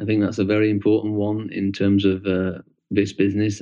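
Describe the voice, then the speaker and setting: A man's fairly low-pitched voice with a British accent. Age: 40s. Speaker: tour operator. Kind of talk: interview.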